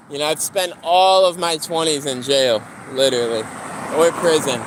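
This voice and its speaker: Against noticeable background noise, a man with a fairly high voice talks at a moderate pace. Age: 20s. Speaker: live streamer. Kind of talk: casual livestream chat. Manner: casual, rambling conversational.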